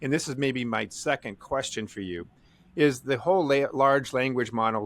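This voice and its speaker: With a dry, close sound and no echo, a man with an ordinary speaking voice talks at a fairly quick pace, his pitch medium with ordinary variation. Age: 60s. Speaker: podcast host. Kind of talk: podcast interview.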